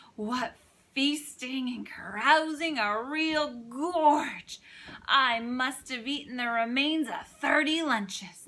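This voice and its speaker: Putting on a character voice, a woman speaks hoarse and husky at a high pitch and a fairly slow pace. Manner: gleeful, self-satisfied.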